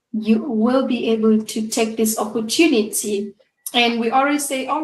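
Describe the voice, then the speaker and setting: Lively intonation from a woman with a fairly high voice, amid audible room echo. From Uganda. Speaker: show host, business coach. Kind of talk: interview.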